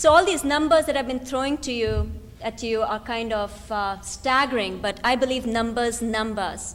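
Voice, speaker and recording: A woman's fairly high voice at a moderate pace, with ordinary pitch variation and audible room echo. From India. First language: not English (Indian language). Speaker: activist, think tank director. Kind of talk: lecture. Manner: animated.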